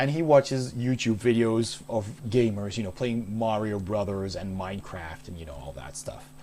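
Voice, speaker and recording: This is a man speaking with a Dutch accent. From Netherlands, Maastricht. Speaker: game streamer. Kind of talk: casual chat. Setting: live stream.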